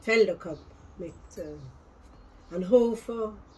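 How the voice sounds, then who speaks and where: A woman speaks at a very slow pace. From South Tyrol, Italy. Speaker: farm woman recalling the past. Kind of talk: interview answer. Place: home room.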